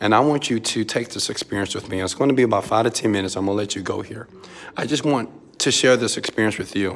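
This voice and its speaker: The speech comes at a fairly quick pace in an American accent. Pitch varies in an ordinary way. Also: man. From Houston, Texas. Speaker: entrepreneur and motivational mentor. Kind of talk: pep talk, motivational preaching. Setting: filming vlog video inside hotel suite in Dubai. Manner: animated, emphatic, call-and-response, loud. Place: home room. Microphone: phone near.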